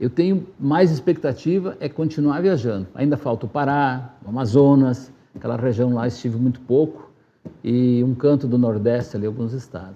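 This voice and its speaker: A man's voice at medium pitch, with ordinary pitch variation and a moderate pace. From southern Brazil, Rio Grande do Sul (Marau). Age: 60s. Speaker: former city council president, community radio worker. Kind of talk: interview.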